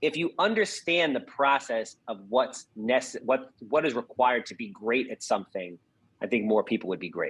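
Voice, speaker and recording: A man talks at a moderate pace and medium pitch, with lively intonation. His tone is animated, with big swings in loudness. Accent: slight New York. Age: 40s. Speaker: real estate investor. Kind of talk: podcast interview.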